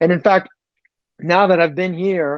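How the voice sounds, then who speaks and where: In a French accent, a man is talking. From France. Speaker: tech executive. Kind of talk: interview. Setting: podcast.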